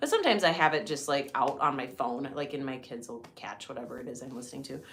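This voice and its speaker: A woman's very deep, low voice at a very fast pace, with noticeable background noise and audible room echo. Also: ordinary pitch variation, big swings in loudness. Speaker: podcast co-host. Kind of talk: casual chat.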